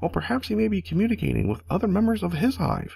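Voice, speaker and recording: A man talks at a very fast pace. He uses a put-on character voice. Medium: solo performance. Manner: eager, academic.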